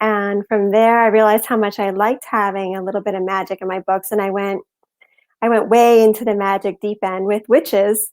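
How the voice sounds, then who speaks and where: At a fairly quick pace, a woman speaks at medium pitch in a monotone, flat intonation. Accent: Midwestern. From US Southwest and Massachusetts. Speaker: novelist. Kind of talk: interview.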